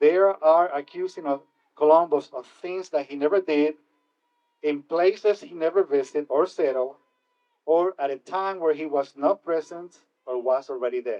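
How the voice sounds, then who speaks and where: Speaking at a moderate pace, a man talks with a Spanish accent. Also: fairly high pitch for a man, ordinary pitch variation, big swings in loudness. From Puerto Rico. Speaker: keynote speaker. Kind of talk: speech.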